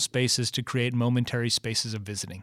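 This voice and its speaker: With an American accent, a man talks at a fairly quick pace in a monotone, flat intonation. The recording is very clean with a silent background, dry and close with no echo. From Michigan. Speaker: artist and professor. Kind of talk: interview.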